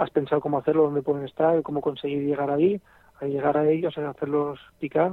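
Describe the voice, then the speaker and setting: Pitched fairly high, a man talks in an unremarkable speaking voice with fairly even intonation. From Aragon, Spain (near Barbastro, Huesca). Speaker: fly fisherman. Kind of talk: casual interview.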